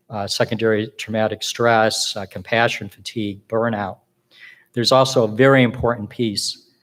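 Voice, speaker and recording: A man talks with monotone, flat intonation. The recording is very clean, with a silent background. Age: 60s. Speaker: social work professor. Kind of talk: conference talk. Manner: halting.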